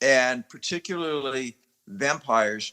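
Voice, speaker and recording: The dry, close sound with no echo carries a man's fairly high pitch, bright, sharp tone and lively intonation. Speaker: actor. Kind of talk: interview. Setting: podcast interview. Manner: animated.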